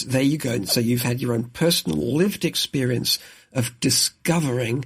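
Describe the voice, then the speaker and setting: With vocal fry in his medium-pitched voice, a man speaks at a moderate pace with ordinary pitch variation. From southeast England (Kent coast). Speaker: author and leadership coach. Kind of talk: interview.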